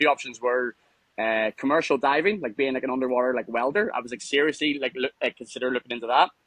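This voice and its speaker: A man with a Northern Irish accent, medium pitch, fairly even intonation and a very fast pace. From Northern Ireland, Lisburn near Belfast. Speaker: mine worker and former nightclub promoter. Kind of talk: casual interview. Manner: fast, halting with repetitions.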